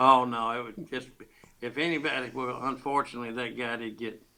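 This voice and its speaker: A man with an American accent speaks in a bright, sharp tone at a fairly quick pace, his intonation fairly even. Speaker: storyteller. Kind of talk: interview answer.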